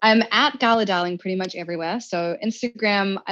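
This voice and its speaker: The speaker has a New Zealand accent and ordinary pitch variation. The pace is moderate and the background quiet. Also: woman. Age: 30s. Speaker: self-help author. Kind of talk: interview.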